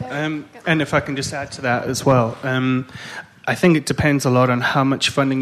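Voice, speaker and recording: The speaker is a man with monotone, flat intonation. He moves at a fairly quick pace. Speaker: mobile blogging company founder on panel. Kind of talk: panel discussion.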